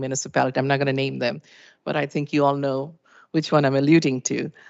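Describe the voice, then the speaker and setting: A woman with a non-native accent speaks at a very deep, low pitch. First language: not English. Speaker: municipal finance presenter. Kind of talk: presentation to council.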